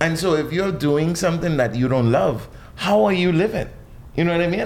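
Audible room echo surrounds a man whose fairly high voice moves at a moderate pace. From Bahamas, New Providence. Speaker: chef. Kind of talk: casual interview.

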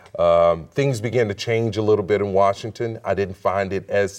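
A man talks in a plain, everyday voice with an American accent. His pitch is fairly low, his intonation fairly even and his pace moderate. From Texas, Houston. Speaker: business executive and lobbyist. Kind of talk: interview.

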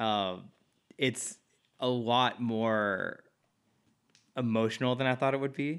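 A man with an American accent speaks at a very slow pace with long, frequent pauses. His pitch is medium, with ordinary pitch variation. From US Midwest. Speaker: podcast co-host. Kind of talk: casual chat.

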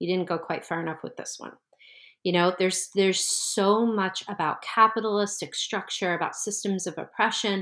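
In a normal speaking voice, a woman talks at a medium pitch with fairly even intonation. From US Northeast, New Jersey. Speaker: tarot teacher. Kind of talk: interview conversation.

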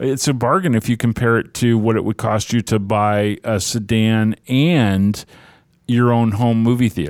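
On a very clean recording with a silent background, a man speaks at a fairly slow pace, medium pitch and very even loudness. He has a plain, everyday voice with ordinary pitch variation. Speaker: radio co-host. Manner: conversational, easygoing co-host chatter.

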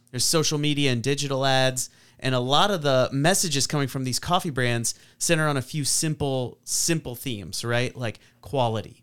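An ordinary speaking voice from a man at medium pitch, fairly quick, with ordinary pitch variation, in a very clean recording with a silent background. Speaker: podcast host, theologian. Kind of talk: casual chat.

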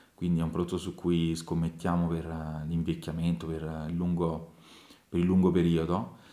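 A man's very deep, low voice, dark and mellow in tone, with flat, monotone intonation at a fairly slow pace. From Tarquinia, northern Lazio, Italy. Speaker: winemaker. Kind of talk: interview. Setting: at the winery.

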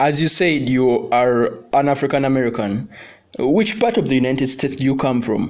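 A man has a normal speaking voice at a medium pitch with ordinary pitch variation. He keeps a moderate pace and very even loudness. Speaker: podcast host. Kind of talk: interview.

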